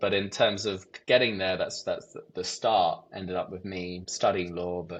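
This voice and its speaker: With an English accent, a man talks at a moderate pace and a fairly low pitch. The background is quiet. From England, Hertfordshire. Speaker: events company president. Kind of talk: podcast interview. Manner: hesitant, many repeated words.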